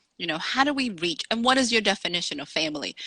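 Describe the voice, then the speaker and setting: A woman with a Dominican accent speaks at a very fast pace in a bright, sharp tone, her fairly high pitch carrying lively intonation, in dry, close sound with no echo. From Dominican Republic, raised in Salem, Massachusetts. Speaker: author. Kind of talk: interview.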